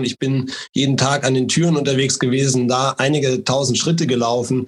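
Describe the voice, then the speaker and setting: The sound is dry and close with no echo as a man speaks in a monotone, flat intonation. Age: 30s. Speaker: local politician and mayoral candidate. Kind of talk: interview. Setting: online call.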